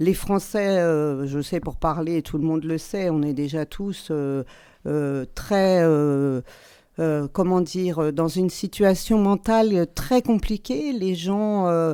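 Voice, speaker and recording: This woman's voice has a dark, mellow tone and a fairly low pitch with ordinary pitch variation. She talks at a very slow pace on a very clean recording with a silent background. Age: 60s. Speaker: parliamentary candidate, retired teacher. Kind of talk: radio interview. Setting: radio studio. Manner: hesitant, many fillers and repetitions.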